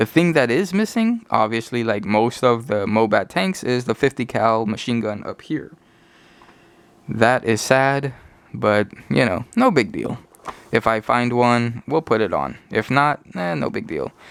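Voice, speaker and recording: At a fairly slow pace, a man with a plain, everyday voice speaks at medium pitch with lively intonation. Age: adult. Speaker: toy collector YouTuber. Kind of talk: casual toy review. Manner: casual with fillers.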